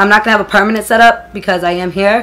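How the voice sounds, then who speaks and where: A woman's voice over music in the background. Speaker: beauty YouTuber. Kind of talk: casual vlog tutorial. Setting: home filming setup. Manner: uneven volume, voice goes up and down; animated.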